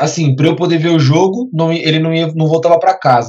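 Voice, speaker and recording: Fairly quick, somewhat breathy speech from a man, pitched fairly high. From Brazil, Guarulhos (São Paulo area). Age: 20s. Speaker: photographer. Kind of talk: interview. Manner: halting, repeats words.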